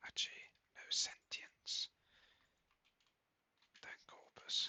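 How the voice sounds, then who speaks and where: A whisper, fairly slow in pace. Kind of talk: ASMR gaming commentary. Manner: whispered.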